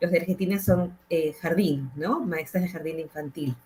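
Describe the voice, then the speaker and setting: With music playing behind her, a woman speaks at a fairly low pitch in a Peruvian accent. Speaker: educator and psychologist, panel moderator. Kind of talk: panel discussion.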